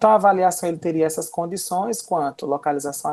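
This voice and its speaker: At a fairly quick clip, a woman talks in a dark, mellow tone. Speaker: wound care health professional. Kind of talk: live webinar lecture. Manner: fast.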